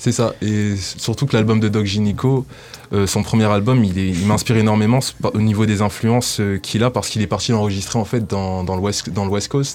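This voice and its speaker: Noticeable background noise sits behind a man speaking at a moderate pace. His pitch is fairly low and his intonation fairly even. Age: 20s. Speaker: rapper. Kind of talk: radio interview.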